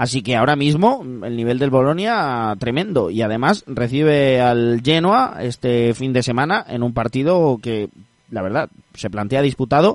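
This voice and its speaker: A man speaks at a medium pitch in an ordinary speaking voice. His intonation is lively and his pace fairly slow. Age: 20s. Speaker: football podcast host. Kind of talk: casual football talk.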